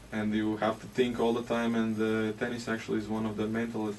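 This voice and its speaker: Against noticeable background noise, a man with a Latvian accent speaks at a moderate pace in a medium pitch with monotone, flat intonation. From Latvia, Jurmala. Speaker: ice hockey player. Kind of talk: interview. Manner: halting.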